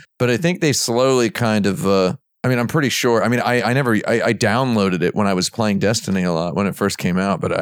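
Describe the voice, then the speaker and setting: Very fast speech at a very even loudness comes through with a dry, close sound and no echo. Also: man. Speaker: podcast co-host. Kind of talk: casual panel podcast banter. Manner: jokey, talkative.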